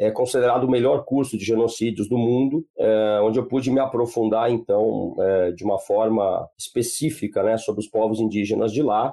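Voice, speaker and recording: A man's plain, everyday voice at medium pitch, fairly quick and nearly without pauses, with fairly even intonation. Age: 50s. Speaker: law professor and genocide researcher. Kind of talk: podcast interview.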